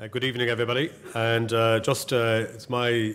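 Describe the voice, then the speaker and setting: Here a man talks with an Irish accent at a moderate pace. His voice sits at a medium pitch. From Ireland. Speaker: college president; clergyman hosting a lecture. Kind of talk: welcome speech. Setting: lecture hall with audience. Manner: halting. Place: hall. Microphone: podium.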